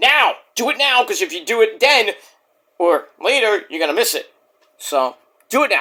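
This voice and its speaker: A man's raised, projected voice, extremely high in pitch with very wide pitch swings and a bright, sharp tone, at a moderate pace broken by long, frequent pauses. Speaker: wrestling podcaster. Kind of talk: casual vlog monologue. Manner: keeping voice down.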